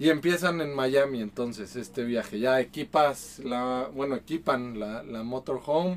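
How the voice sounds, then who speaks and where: At a very slow pace, a man with a Mexico City accent speaks in a medium pitch with ordinary pitch variation. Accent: Mexican Spanish (Mexico City). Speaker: podcast host. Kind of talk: casual chat over beers.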